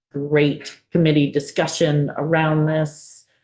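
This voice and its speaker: A woman's very deep, low voice with a dark, mellow tone, in a Buffalo accent. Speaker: committee chair. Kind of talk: committee meeting.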